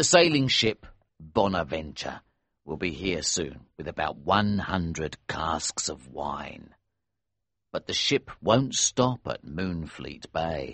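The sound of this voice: The put-on character voice has a fairly bright tone with a slightly husky edge, big pitch swings and a slow pace. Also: man, extremely low pitch for a man.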